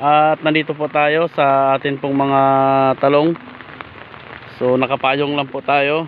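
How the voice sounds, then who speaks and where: At a fairly slow pace, a man speaks in a dry sound with no echo, with light background noise behind him. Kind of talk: casual vlog chat. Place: rain. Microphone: phone near.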